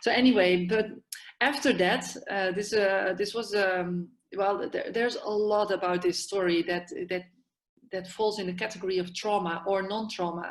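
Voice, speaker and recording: A woman with a Dutch accent speaks at a moderate pace and medium pitch. Her intonation is fairly even. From Netherlands, Amsterdam. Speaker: yoga therapist and psychiatric nurse. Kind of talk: podcast interview. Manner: halting, many fillers.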